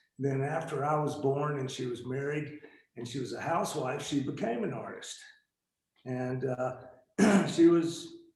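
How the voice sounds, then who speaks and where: There is audible room echo as a man speaks at a fairly slow pace. He has an American accent and a fairly high pitch. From US Appalachia / East Coast, North Carolina. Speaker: artist. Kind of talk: interview. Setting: video call.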